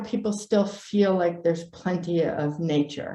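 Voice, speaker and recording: The speech moves at a fairly slow pace with ordinary pitch variation. Room echo can be heard. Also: woman. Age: 60s. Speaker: native plant propagation expert, nonprofit founder. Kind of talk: presentation.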